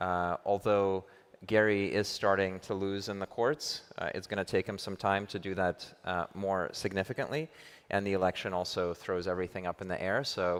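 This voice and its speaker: Very deep and low, a man's voice moves at a moderate pace with fairly even intonation in an American accent. The recording is very clean, with a silent background. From US, New York. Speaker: crypto venture investor. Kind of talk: conference panel discussion.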